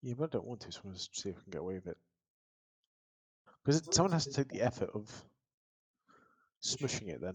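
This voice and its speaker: With vocal fry and a medium pitch, a man speaks very fast with very wide pitch swings, big swings in loudness and long, frequent pauses, in a dry, close sound with no echo. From northern England, Northumberland. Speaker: video game streamer. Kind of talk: casual chat. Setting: live stream with headset. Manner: mumbling.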